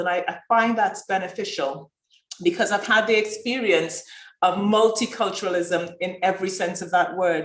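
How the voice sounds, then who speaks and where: Audible room echo surrounds a woman's voice. She speaks at a medium pitch and a moderate pace. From Trinidad. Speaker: doctor and healthcare leader. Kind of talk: conference talk.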